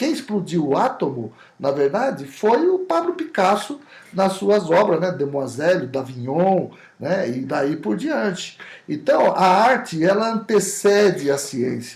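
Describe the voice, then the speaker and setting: Moving at a fairly slow pace, a man with a high pitch makes very wide pitch swings. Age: 60s. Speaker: olfactory designer, company CEO. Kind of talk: podcast interview.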